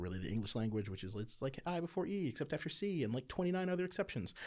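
A man at a very fast pace with very wide pitch swings, on a very clean recording with a silent background. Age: 30s. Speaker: pastor. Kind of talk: casual chat.

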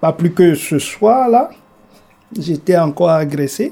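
Pitch moves in an ordinary way here. The man's tone is dark and mellow. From Togo. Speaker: motel receptionist. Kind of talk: documentary interview.

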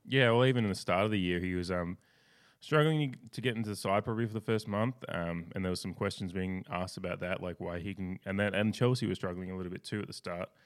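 Very fast speech in an Australian accent, with ordinary pitch variation. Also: man, fairly low pitch for a man. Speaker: sports podcast host. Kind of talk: casual chat.

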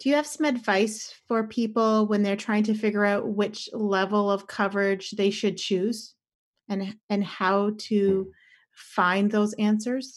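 In a very clean recording with a silent background, a woman with a Canadian accent speaks fairly slowly in a fairly high, somewhat breathy voice with fairly even intonation. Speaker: insurance broker. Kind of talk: informational podcast discussion.

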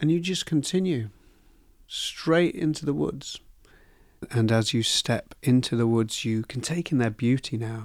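A man with an unremarkable speaking voice talks at a fairly slow pace, his medium pitch carried by lively intonation. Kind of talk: guided meditation. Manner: slow, soothing, calm, with soft pauses; gentle, hypnotic, encouraging.

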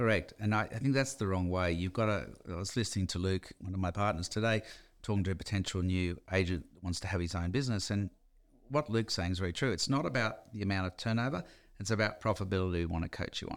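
A man with an Australian accent talks at a very fast pace in a very clean recording with a silent background. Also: fairly low pitch for a man, ordinary pitch variation. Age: 60s. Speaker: real estate company founder. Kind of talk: interview. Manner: casual.

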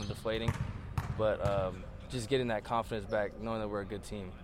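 A man speaks at a fairly quick pace. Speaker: college basketball player. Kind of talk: radio interview. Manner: casual, filler-heavy.

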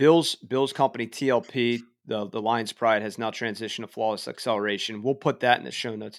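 An unremarkable speaking voice, a man with an American accent and medium pitch speaks at a fairly quick pace with fairly even intonation and big swings in loudness, in a very clean recording with a silent background and a dry, close sound with no echo. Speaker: podcast host. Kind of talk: interview, casual conversation.

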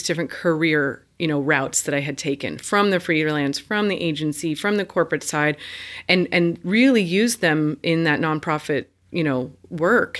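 With an American accent, a woman with an unremarkable speaking voice talks at a moderate pace and a fairly low pitch, ordinary pitch variation, on a very clean recording with a silent background. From Indiana. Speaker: business coach. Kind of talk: interview.

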